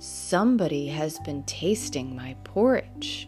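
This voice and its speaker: Over clear music in the background, a put-on character voice with a low-to-middle pitch moves at a fairly slow pace. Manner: booming.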